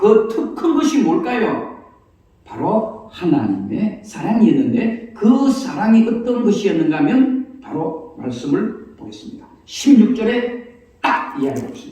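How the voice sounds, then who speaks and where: A man talks with a high pitch, very wide pitch swings and big swings in loudness. Noticeable noise sits in the background. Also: fairly slow pace. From Gyeongsang province, South Korea. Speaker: pastor. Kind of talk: sermon. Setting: church.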